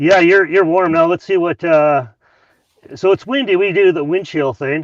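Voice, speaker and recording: With a Canadian accent, the speaker's pitch varies in an ordinary way. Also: man, high pitch for a man, moderate pace. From Canadian Prairies, northern Saskatchewan. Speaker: amateur radio operator. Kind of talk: casual chat. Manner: halting, many repetitions.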